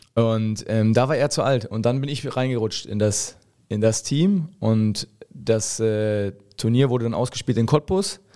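The man's medium-pitched voice has a dark, mellow tone and moves at a fairly slow pace. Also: ordinary pitch variation. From eastern Germany, Lusatia (Hoyerswerda). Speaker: professional football goalkeeper. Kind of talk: casual chat.

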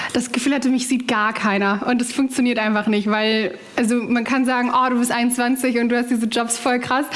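A woman at a moderate pace with high pitch, monotone, flat intonation, very even loudness and hardly any pauses, amid audible room echo and noticeable background noise. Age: 20s. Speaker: journalist and presenter. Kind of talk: casual interview. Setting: remote call from home kitchen.

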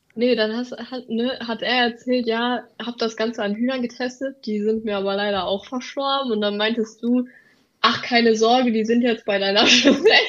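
At a moderate pace, a woman speaks with a fairly high pitch in a monotone, flat intonation. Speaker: student teacher. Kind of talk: casual chat; reading aloud. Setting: remote recording.

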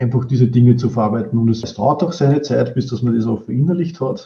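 Somewhat breathy, a man speaks in a dark, mellow tone. His pitch is medium, with ordinary pitch variation. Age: 40s. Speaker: business process expert, coaching client. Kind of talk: interview, casual chat. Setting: video call.

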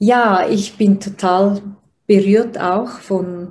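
A somewhat breathy voice with a dark, mellow tone and monotone, flat intonation. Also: woman. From Switzerland. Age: 30s. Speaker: personal development coach, interviewer. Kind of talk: interview, asking questions. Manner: hesitant, many fillers.

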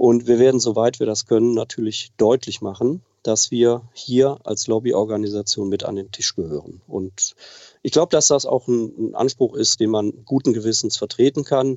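A man has an unremarkable speaking voice at medium pitch. He talks at a moderate pace with ordinary pitch variation. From Germany, Oberbergisches Land near Cologne. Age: 50s. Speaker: aviation association president. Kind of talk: interview. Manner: formal.

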